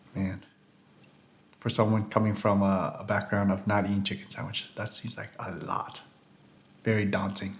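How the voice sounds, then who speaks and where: Noticeable background noise sits behind a man speaking at a moderate pace with long, frequent pauses. His pitch is fairly low and his intonation is monotone and flat. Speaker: food reviewer. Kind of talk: casual food review vlog. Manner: mumbling; casual, halting.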